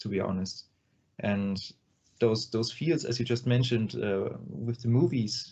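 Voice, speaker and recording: A man's somewhat breathy, medium-pitched voice with a non-native accent and ordinary pitch variation. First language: not English. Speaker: metal band vocalist. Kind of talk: interview. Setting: video call. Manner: halting, many fillers.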